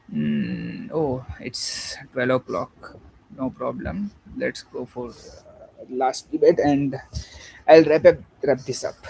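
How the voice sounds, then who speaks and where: A man with a Gujarati accent speaks at a very slow pace with big swings in loudness over noticeable background noise. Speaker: online debater streaming live. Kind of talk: debate. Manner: halting, many fillers.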